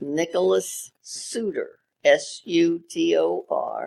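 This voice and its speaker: The voice belongs to a woman with a Maryland accent. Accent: Mid-Atlantic American (Maryland). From Maryland, Havre de Grace. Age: 90s. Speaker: retired radio station owner. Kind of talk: interview.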